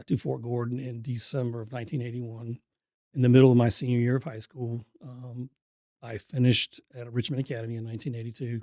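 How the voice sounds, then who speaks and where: Very fast and flat in intonation, a man speaks at a medium pitch with a dark, mellow tone, big swings in loudness, and a dry, close sound with no echo. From military childhood, teen years in Augusta, Georgia. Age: 60s. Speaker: EMS chief. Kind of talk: podcast interview. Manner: hesitant, many fillers.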